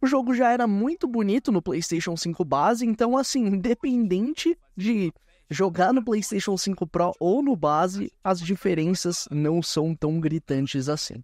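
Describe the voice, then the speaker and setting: A man with a high pitch and an enthusiastic tone speaks at a fairly slow pace with lively intonation. His loudness is very even, and the sound is dry with no echo. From Brazil. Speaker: gaming YouTuber. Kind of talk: live gameplay commentary. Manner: casual, enthusiastic. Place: home room. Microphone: headset.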